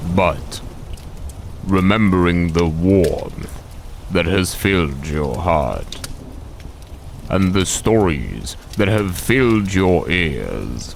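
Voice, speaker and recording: A man's very deep, low voice at a very slow pace, with very even loudness, long, frequent pauses, and clear background noise. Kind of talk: bedtime story. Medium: read story. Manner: soft, soothing, affectionate.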